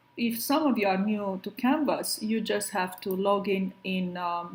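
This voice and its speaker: A woman speaks at a fairly slow pace with a somewhat breathy voice and ordinary pitch variation. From Romania. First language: Romanian. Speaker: professor. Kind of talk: lecture. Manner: hesitant, many fillers.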